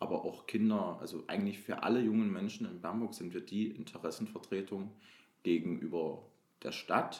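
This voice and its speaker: A man speaks at a moderate pace with fairly low pitch and fairly even intonation, in a plain, everyday voice. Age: 20s. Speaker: youth council member, trainee educator. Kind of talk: interview.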